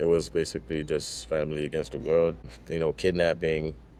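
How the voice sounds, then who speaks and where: Speaking very fast, a man with a very deep, low pitch shows vocal fry. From Haiti. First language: Haitian Creole or French. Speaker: videographer. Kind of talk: casual interview. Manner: halting.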